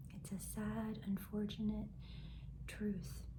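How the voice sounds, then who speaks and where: The speaker is soft-spoken against noticeable background noise. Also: woman. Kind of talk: soft-spoken self-help talk to camera.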